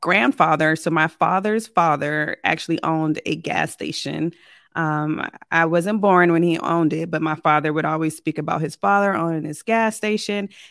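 A woman with an American accent uses a plain, everyday voice with a fairly low pitch. She speaks at a fairly slow pace in a very clean recording with a silent background. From military childhood in Germany and US, later Richmond, Virginia. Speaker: real estate investor. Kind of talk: podcast interview.

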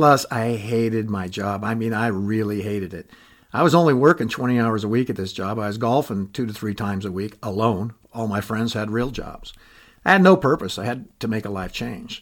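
A man's ordinary speaking voice at medium pitch, fairly quick, with ordinary pitch variation and a very clean recording over a silent background. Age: 60s. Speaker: podcaster, retiree. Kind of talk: personal monologue. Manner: conversational.

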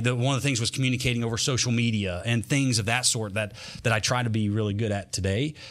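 A man with a Southern US accent speaks at a very fast pace. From North Carolina. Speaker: monster truck driver. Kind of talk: casual interview. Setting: studio.

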